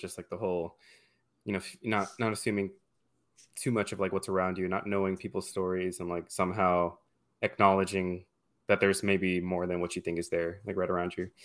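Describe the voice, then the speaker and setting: With an American accent, a man speaks at a very deep, low pitch and a fairly quick pace. The recording is very clean, with a silent background. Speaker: podcast host. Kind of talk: casual chat.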